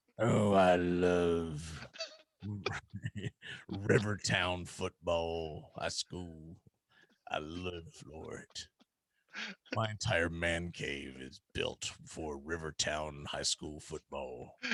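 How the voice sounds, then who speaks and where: Putting on a character voice, a man speaks very slowly in a very deep, low pitch, with long, frequent pauses. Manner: enthusiastic.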